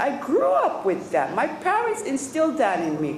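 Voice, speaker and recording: A woman's speech comes through noticeable background noise and audible echo from the room. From Hawaii, Waimanalo (Oahu). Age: 60s. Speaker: independence activist giving public testimony. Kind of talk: public testimony. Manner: impassioned.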